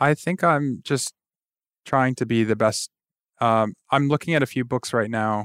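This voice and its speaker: In a Midwestern American accent, a man speaks at medium pitch and a fairly slow pace with long, frequent pauses, very even loudness and ordinary pitch variation, on a very clean recording with a silent background and a dry, close sound with no echo. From Michigan, near Detroit. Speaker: tech recruitment director. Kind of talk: interview.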